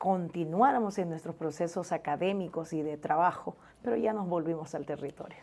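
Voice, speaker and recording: A woman uses a normal speaking voice, fairly low in pitch, at a moderate pace with ordinary pitch variation. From Honduras, La Mosquitia (Puerto Lempira). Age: 30s. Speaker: journalist. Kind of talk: interview.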